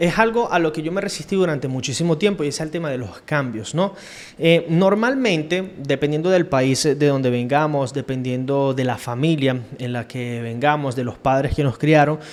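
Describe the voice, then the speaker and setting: This man talks at a moderate pace with hardly any pauses. His voice sits fairly high, with ordinary pitch variation. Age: 30s. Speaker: podcaster / self-reflection vlogger. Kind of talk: casual monologue, personal reflection. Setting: home recording on camera. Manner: hesitant, with fillers.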